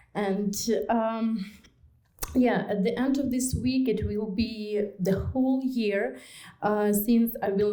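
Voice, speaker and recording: In a Ukrainian accent, a woman with a dark, mellow tone and fairly high pitch speaks at a very slow pace with fairly even intonation, and audible room echo surrounds her. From Ukraine. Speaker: refugee newcomer. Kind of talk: testimony speech. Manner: halting.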